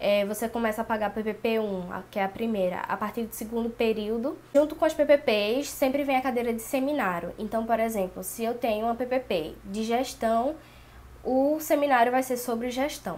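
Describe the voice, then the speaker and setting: The woman's pitch is fairly high and varies in an ordinary way, and she has a normal speaking voice. Her speed is moderate. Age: 20s. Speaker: pedagogy student. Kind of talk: casual talk to camera.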